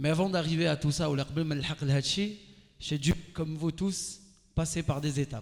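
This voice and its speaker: The speech moves at a moderate pace in an animated tone. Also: man. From Algeria. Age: 30s. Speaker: radio and TV host, motivational speaker. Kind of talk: motivational talk to a live audience. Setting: stage with audience.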